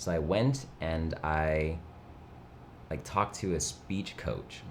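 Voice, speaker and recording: Audible room echo surrounds a man's very deep, low voice. He speaks with vocal fry. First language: Mandarin. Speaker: streamer. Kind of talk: casual chat. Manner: low-energy, chill.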